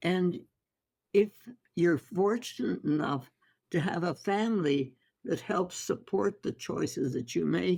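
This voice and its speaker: With vocal fry and a dark, mellow tone, a woman speaks at a very slow pace in a fairly low pitch, her intonation lively. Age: 80s+. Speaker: holistic physician. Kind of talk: interview answer.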